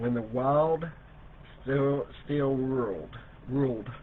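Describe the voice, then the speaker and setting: Intonation stays fairly even as a man speaks at medium pitch. His pace is fairly slow. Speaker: online seller hosting live sale. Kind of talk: live sales stream. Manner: slow, repetitive.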